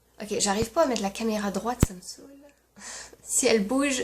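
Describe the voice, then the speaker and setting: There is noticeable background noise. Against it, a woman with a fairly high pitch speaks at a moderate pace. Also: long, frequent pauses, big swings in loudness. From France. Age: 20s. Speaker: YouTuber. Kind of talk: casual talk to camera.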